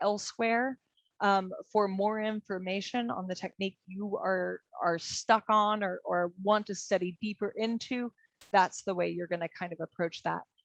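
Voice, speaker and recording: Dry, close sound with no echo, a woman at a medium pitch, fairly slow, with fairly even intonation. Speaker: martial arts instructor. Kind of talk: lecture. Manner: halting.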